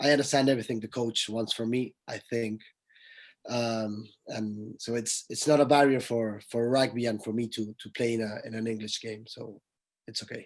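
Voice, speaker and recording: A man with a Spanish accent, medium in pitch, at a moderate pace, in a monotone, flat intonation. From Argentina. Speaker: rugby player. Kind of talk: panel discussion.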